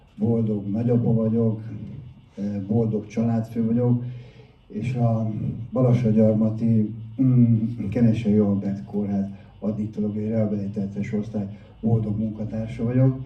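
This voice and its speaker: In a room with audible echo, a man at a medium pitch speaks in a monotone, flat way at a fairly slow pace, with long, frequent pauses. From Hungary, Budapest. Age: 60s. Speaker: addiction counsellor and recovery speaker. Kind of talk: public talk, personal testimony.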